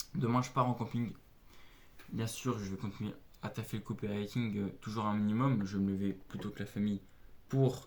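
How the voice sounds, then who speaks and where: Fairly even intonation and a fairly low pitch mark this man's speech. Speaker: aspiring copywriter vlogger. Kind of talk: motivational vlog tips. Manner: mumbled articulation, fast when carried away; hesitant, filler-heavy.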